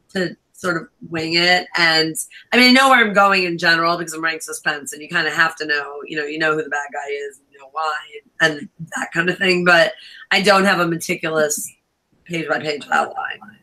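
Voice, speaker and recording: An unremarkable speaking voice with an American accent, a fairly quick pace, ordinary pitch variation and big swings in loudness. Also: woman, fairly low pitch for a woman. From New York. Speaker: author. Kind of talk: casual chat.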